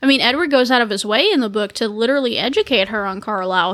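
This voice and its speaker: A woman talks at a very fast pace with a Southern US accent. Her pitch varies in an ordinary way. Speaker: podcast co-host. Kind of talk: casual chat.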